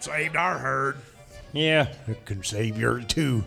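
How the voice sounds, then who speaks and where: Over clear music in the background, a man does a raspy put-on character voice at medium pitch and a fairly slow pace. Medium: audio drama. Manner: drawling, plain.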